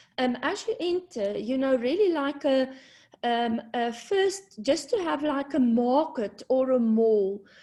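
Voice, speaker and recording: Speaking at a very slow pace, a woman uses a high pitch and a dark, mellow tone. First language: not English. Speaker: university community engagement presenter. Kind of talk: presentation at online launch event. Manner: hesitant, many fillers.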